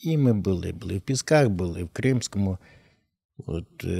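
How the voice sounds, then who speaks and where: A man's fairly low, dark, mellow voice with ordinary pitch variation at a moderate pace, dry and close with no echo, in a very clean recording with a silent background. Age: 60s. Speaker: war veteran, painter and writer. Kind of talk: interview conversation.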